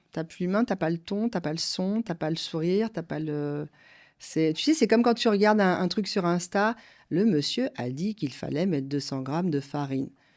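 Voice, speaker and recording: Over a silent background on a very clean recording, a woman talks at a moderate pace with lively intonation. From France. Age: 50s. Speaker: company director. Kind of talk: interview. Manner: halting.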